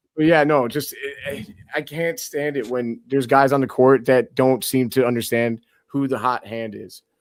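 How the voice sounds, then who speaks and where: A man speaks in a normal speaking voice, medium in pitch, at a moderate pace. His intonation is fairly even, on a very clean recording with a silent background. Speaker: basketball podcast host. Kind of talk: casual chat.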